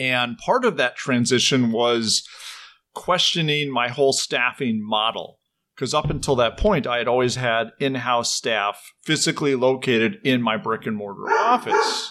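Against a quiet background, a man with an American accent speaks fairly slowly at a medium pitch, his tone bright and sharp and his pitch variation ordinary. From Minnesota, US. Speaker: financial advisor. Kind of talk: interview. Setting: call.

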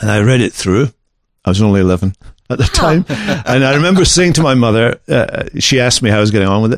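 Speech comes at a very fast pace, with a dry, close sound and no echo. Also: man, medium pitch for a man. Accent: Scottish. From Scotland. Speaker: pastor. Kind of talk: casual interview conversation.

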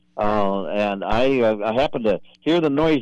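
A man speaks with a Minnesota accent. His pitch varies in an ordinary way. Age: 70s. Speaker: deer hunter and senior softball player. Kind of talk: casual chat, storytelling.

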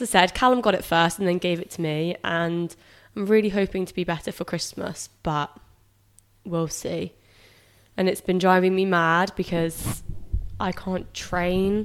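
With a British accent, a woman speaks at a fairly slow pace in a medium-pitched voice with fairly even intonation and long, frequent pauses, on a very clean recording with a silent background. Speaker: podcast co-host, online fitness coach. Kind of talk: casual chat.

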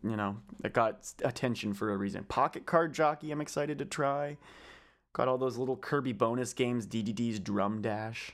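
A man talks at a fairly quick pace in an ordinary speaking voice. His pitch is medium with ordinary pitch variation, in a very clean recording with a silent background. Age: 20s. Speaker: podcast host. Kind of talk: casual chat.

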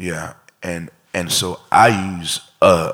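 The man's pitch is very deep and low. He talks in an American accent. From Miami, Florida. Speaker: pedal steel guitarist. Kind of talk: casual interview before live audience. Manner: repetitive, halting with fillers.

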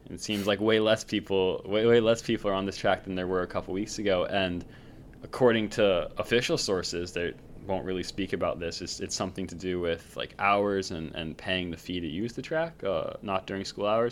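A man speaks in an unremarkable speaking voice. His pitch is fairly low, with ordinary pitch variation. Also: fairly quick pace. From North Carolina. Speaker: podcast co-host, former runner, student. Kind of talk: casual chat. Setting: video call.

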